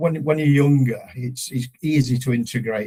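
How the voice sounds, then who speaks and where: Here is a man with a British accent and a dark, mellow tone. His voice is somewhat breathy, with ordinary pitch variation. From UK, forces family moving between Germany and UK. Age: 60s. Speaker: son of a veteran. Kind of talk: interview. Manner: halting, many repetitions.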